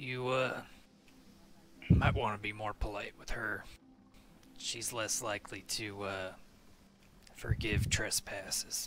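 A man does a gruff put-on character voice at a fairly low pitch, with monotone, flat intonation. He speaks at a fairly slow pace with long, frequent pauses as music plays in the background. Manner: gruff, blunt, impatient.

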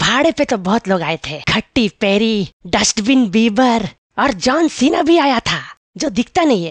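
At a moderate pace, a man uses a cartoonish character voice pitched extremely high. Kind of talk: comic monologue in Hindi. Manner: boastful, joking.

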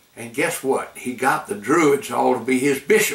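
A man talks at a fairly slow pace. Room echo can be heard around his voice. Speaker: grandfather storyteller. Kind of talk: storytelling to camera. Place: home room.

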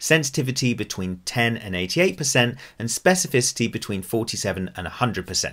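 Against a quiet background, a man speaks at a fairly quick pace with very wide pitch swings. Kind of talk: tutorial. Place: home room.

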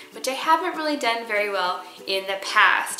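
A woman talks at a moderate pace. Audible room echo and light background noise surround her voice. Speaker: parenting vlogger. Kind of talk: casual vlog chat. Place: kitchen.

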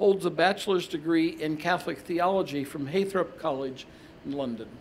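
With ordinary pitch variation, a man talks at a moderate pace in a fairly high pitch.

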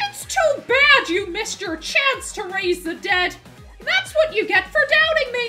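Over clear background music, a woman uses a put-on character voice at an extremely high pitch and a fairly slow pace. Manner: gleeful, mocking.

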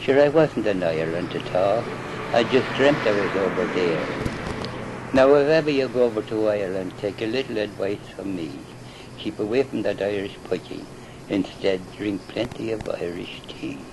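A man talks at a moderate pace with lively intonation while noticeable background noise plays behind him. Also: fairly low pitch for a man. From Ireland. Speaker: amateur poet. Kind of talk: poetry reading. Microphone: old recording.

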